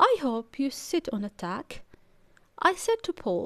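Very slowly, a woman speaks in a gentle, soothing tone with a dry, close sound and no echo. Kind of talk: bedtime story reading aloud of a children's picture book. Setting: video audiobook read-aloud for kids. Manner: gentle, soothing, unhurried storytelling pace.

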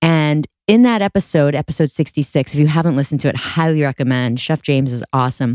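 Talking at a very fast pace with hardly any pauses, a woman with a very deep, low pitch sounds animated, her pitch varying in an ordinary way, in a dry, close sound with no echo. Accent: American. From Boston. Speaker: podcast host. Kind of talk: casual interview chat.

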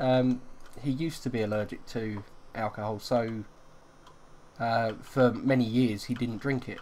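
Speaking at a fairly slow pace, a man with a medium-pitched voice leaves long, frequent pauses. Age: 40s. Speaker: gaming YouTuber. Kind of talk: casual chat.

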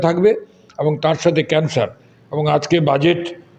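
This man has a fairly high pitch and an unremarkable speaking voice. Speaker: blood donation activist. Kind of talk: interview.

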